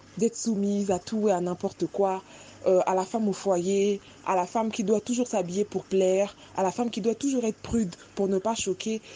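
This woman talks at a moderate pace with a medium-pitched voice and ordinary pitch variation. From Congo. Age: 20s. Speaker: clinical psychologist. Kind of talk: casual chat.

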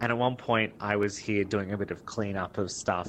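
A man speaks in an Australian accent with monotone, flat intonation. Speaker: game developer and artist. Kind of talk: interview.

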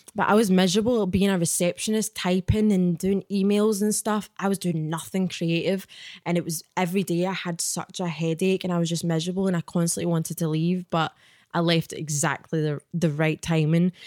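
Speaking at a fairly quick pace in a Glaswegian accent, a woman with a fairly low pitch is captured in a very clean recording with a silent background and a dry, close sound with no echo. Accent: Glaswegian Scottish. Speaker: author and spiritual guide. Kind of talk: casual chat. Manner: animated.

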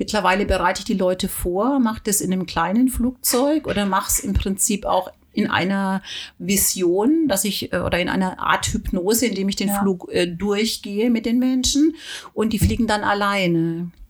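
A woman's somewhat breathy voice at medium pitch, with ordinary pitch variation, very even loudness and a moderate pace. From southern Germany, Weingarten. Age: 50s. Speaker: pilot and anxiety coach. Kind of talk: casual interview.

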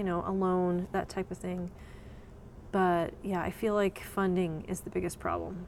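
With an American accent, a woman speaks at a medium pitch and a moderate pace. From Texas. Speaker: writer and business founder. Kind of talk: interview. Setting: on location in a coworking space.

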